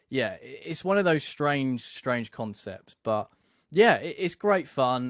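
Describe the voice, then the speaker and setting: A man with a British accent talks at a fairly slow pace on a very clean recording with a silent background and a dry, close sound with no echo. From UK. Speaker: podcast host. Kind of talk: casual interview chat.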